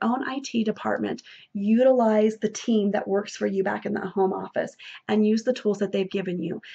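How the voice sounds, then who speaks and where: Her voice is somewhat breathy, at a fairly high pitch. This woman uses ordinary pitch variation. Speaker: beauty sales consultant and trainer. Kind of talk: training talk. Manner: fast; animated.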